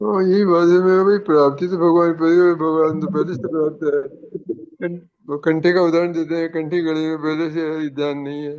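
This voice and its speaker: Speaking in a plain, everyday voice, a man with a fairly high pitch keeps a moderate pace and fairly even intonation. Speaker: satsang participant. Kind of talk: casual chat.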